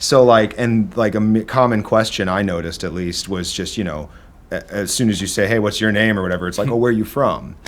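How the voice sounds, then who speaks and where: This man has a slight Midwestern accent and a fairly low pitch. He talks at a fairly quick pace with ordinary pitch variation. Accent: slight Midwestern twang, harsh A's. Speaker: drummer and studio owner. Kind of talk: casual chat.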